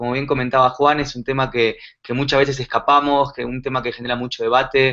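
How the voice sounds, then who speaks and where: Talking at a fairly quick pace, a man with a medium-pitched voice and a bright, sharp tone keeps his intonation fairly even. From Argentina. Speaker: digital marketing consultant. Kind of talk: conference talk. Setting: live online conference. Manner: many filler pauses.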